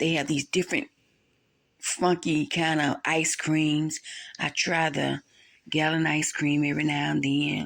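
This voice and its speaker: A woman with a Southern US accent, very deep and low in pitch, with vocal fry, monotone, flat intonation and very even loudness, fairly slow with long, frequent pauses, on a very clean recording with a silent background. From US South. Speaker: vlogger. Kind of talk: casual vlog voiceover. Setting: voiceover recorded at night. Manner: chatty, rambling.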